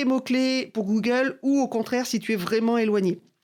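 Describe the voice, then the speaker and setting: A woman with a plain, everyday voice speaks at a fairly slow pace and a fairly high pitch. The recording is very clean, with a silent background. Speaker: marketing coach. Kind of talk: tutorial.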